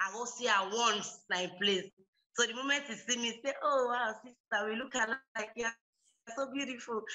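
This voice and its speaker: A woman with a Sierra Leonean accent, a fairly high pitch and fairly even intonation. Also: moderate pace. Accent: Sierra Leonean Krio-accented English. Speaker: reality show contestant. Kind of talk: audition interview.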